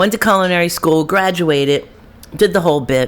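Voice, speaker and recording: Noticeable background noise surrounds a speaker with an American accent. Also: woman. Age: 60s. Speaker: chef. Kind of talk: casual chat.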